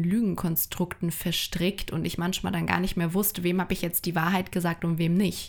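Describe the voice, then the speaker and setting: A woman's fairly low, monotone voice with flat intonation at a moderate pace, in a very clean recording with a silent background. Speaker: podcast co-host and coach. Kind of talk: casual chat.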